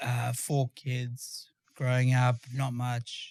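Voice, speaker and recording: A man speaks at a very slow pace and medium pitch, his tone dark, mellow and somewhat breathy. His intonation stays monotone and flat. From South Africa, Johannesburg. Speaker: former special forces soldier. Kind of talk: interview. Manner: halting.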